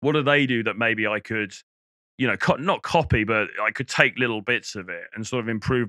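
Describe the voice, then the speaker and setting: A man with a British accent talks at a fairly quick pace and a medium pitch, with ordinary pitch variation and a bright, sharp tone. The recording is very clean with a silent background, and the sound is dry and close with no echo. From England. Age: middle-aged. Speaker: dating coach. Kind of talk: casual monologue to camera. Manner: conversational, many fillers and restarts.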